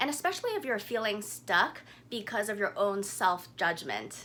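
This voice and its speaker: A woman speaks at a medium pitch and a fairly slow pace in an unremarkable speaking voice. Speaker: naturopathic doctor, guided meditation guide. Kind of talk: guided meditation. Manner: calm, slow, instructional.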